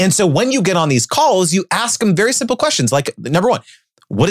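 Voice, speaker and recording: An animated man, fairly quick, with very wide pitch swings and a dry, close sound with no echo. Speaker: brand deal coach. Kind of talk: interview.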